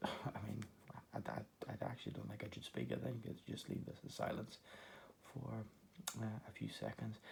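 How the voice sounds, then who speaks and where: Quietly and at a moderate pace, a man speaks. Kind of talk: Pokémon card unboxing talk to camera. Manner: quiet, low voice; hesitant, many fillers.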